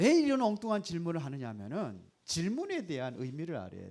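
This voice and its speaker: Using very wide pitch swings and an animated tone, a man with a high voice talks at a moderate pace. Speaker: pastor. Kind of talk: sermon. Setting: church service. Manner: animated, rhetorical questions to audience.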